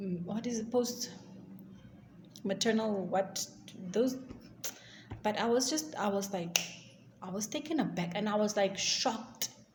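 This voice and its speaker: A woman speaks with an African accent, her pitch fairly high and her pitch variation ordinary. Her pace is fairly slow, broken by long, frequent pauses. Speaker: YouTuber. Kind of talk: storytime vlog. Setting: recording at work. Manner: halting.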